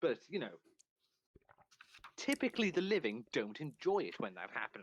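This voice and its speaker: A man speaks at a moderate pace in a Welsh accent, with vocal fry. His pitch swings very widely. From Wales. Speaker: stream co-host. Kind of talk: casual chat.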